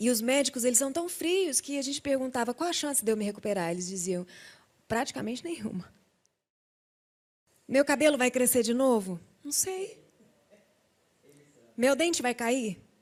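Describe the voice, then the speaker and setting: A woman speaks in a high pitch. She leaves long, frequent pauses. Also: lively intonation, moderate pace. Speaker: singer giving a faith testimony. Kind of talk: testimony on TV talk show.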